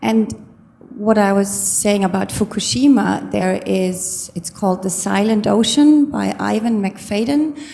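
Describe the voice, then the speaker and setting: Speaking in a German accent, a woman moves at a fairly slow pace. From Germany. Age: 50s. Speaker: audience member asking a question. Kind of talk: audience question at a lecture. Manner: halting.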